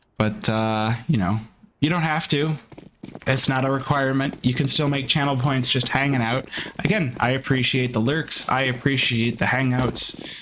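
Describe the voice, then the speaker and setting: A man speaks at a moderate pace with very even loudness. Background noise is noticeable. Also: medium pitch for a man, ordinary pitch variation. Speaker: esports caster. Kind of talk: live commentary; casual chat. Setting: livestream.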